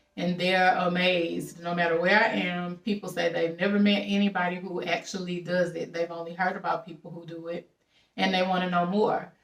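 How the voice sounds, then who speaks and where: The voice carries a strong Southern US accent and a fairly quick pace. Its intonation is monotone and flat, with big swings in loudness. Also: woman, fairly low pitch for a woman. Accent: strong Southern country. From Louisiana. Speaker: travel vlogger and house-sitter. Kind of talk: casual vlog monologue. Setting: at a house-sit in California.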